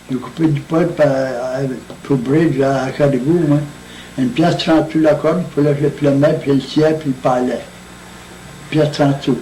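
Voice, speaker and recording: A man speaks at a fairly high pitch and moderate pace, monotone and flat, with very even loudness and long, frequent pauses. Audible room echo and noticeable background noise surround him. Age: 80s+. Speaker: centenarian interviewee. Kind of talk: oral history interview. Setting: birthday party. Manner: halting.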